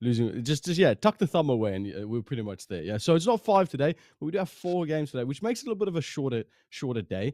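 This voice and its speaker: A man talks very fast at a fairly high pitch with very wide pitch swings. The recording is very clean and dry, close with no echo, over a silent background. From South Africa. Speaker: esports caster. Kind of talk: live commentary.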